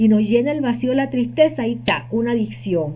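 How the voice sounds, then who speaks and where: A woman speaks at a medium pitch in a dark, mellow, somewhat breathy tone, her pitch swinging very widely. Room echo is audible. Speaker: holistic healing teacher. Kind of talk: lecture.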